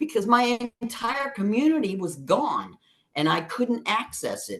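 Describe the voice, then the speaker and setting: A woman speaks at a very slow pace with vocal fry. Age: 60s. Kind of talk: interview answer.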